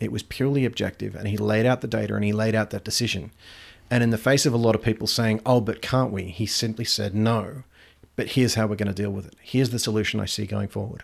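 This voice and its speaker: Speaking very fast with an Australian accent, a man uses a fairly low pitch and fairly even intonation. The recording is very clean, with a silent background. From rural Australia. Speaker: quality assurance manager and retired navy officer. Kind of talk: casual interview conversation.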